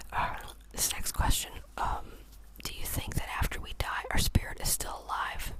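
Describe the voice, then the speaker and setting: A man whispering at a fairly slow pace over noticeable background noise. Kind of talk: ASMR whisper Q&A chatting. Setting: studio, chewing gum near microphone. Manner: whispered, relaxing, slow.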